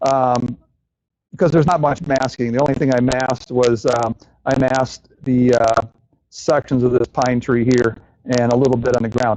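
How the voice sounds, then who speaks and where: Speaking at a moderate pace, a man keeps a medium pitch and fairly even intonation. His loudness stays very even. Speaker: watercolor artist and instructor. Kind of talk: live painting demonstration. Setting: live demo to an audience. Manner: hesitant with many fillers.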